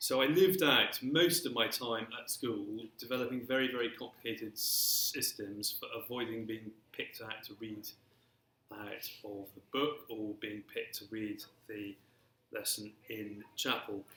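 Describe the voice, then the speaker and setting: Speaking with an English accent at a fairly slow pace, a man has a medium pitch, ordinary pitch variation and big swings in loudness. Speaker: speaker with a stammer. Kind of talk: panel talk. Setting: live-streamed talk with audience. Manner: stammer.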